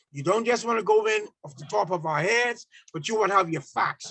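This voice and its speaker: This is a man speaking. His intonation is lively. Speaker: public speaking club member giving educational talk. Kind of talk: educational talk on speechmaking. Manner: fast.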